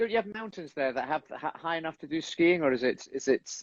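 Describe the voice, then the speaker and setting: A man with a Scottish accent, animated in tone and lively in intonation, at a very fast pace with a dry, close sound and no echo. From Scotland. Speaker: stage actor. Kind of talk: casual chat.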